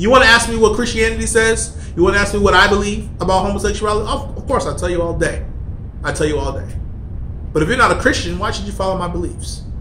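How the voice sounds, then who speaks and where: Music plays behind a man who talks at a very fast pace. Room echo can be heard. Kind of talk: angry rant, preachy vlog. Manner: emphatic, insistent, repeating points with heated force. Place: office. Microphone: phone near.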